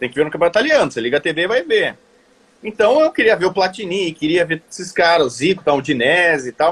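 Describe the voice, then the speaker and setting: A man's high-pitched, very fast speech with lively intonation. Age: 40s. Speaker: sports journalist. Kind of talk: casual interview chat. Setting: video call.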